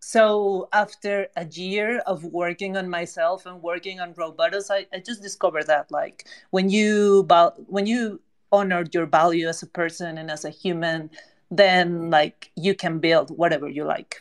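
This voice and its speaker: Loudness swings widely while the pace stays moderate. The intonation is fairly even. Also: woman, fairly low pitch for a woman. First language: not English. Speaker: NFT project co-founder. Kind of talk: casual chat. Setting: online audio space.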